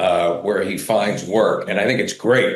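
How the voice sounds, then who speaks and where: A man speaks with vocal fry. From New England. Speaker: podcast host. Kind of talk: podcast interview questions.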